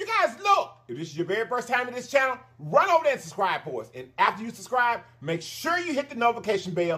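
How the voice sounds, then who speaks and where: The speech comes very fast from this man. Wide, sweeping pitch swings run through it. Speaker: mukbang channel host. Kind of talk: casual vlog chat. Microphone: phone near.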